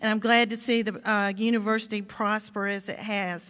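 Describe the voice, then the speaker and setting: A woman with a Georgia accent speaks at a moderate pace, her fairly high pitch carrying a bright, sharp tone. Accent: Southern American (Georgia). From US South. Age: 60s. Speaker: state legislator. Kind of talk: commencement speech. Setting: stage with audience.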